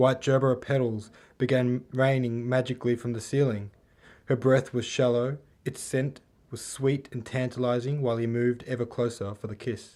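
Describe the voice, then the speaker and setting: Speaking in an Australian accent, a man uses a medium pitch, a dark, mellow, relaxed and calm tone, and a monotone, flat intonation at a moderate pace. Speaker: author. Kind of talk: audiobook reading of own novel. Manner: relaxed, calm.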